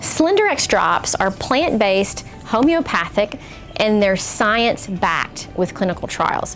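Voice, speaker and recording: A woman speaks at a moderate pace with lively intonation. Her pitch is medium, and music plays in the background. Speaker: podcast host. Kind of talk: sponsored product read.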